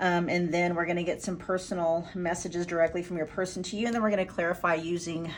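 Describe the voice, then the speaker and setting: A woman with a fairly low voice talks at a very fast pace with fairly even intonation over noticeable background noise. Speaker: tarot card reader. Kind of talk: pick-a-card tarot reading.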